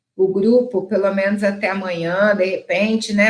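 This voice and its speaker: A woman's medium-pitched voice, fairly slow and fairly even in intonation, with audible room echo. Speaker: dentist and laser lecturer. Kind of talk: online lecture with sales pitch.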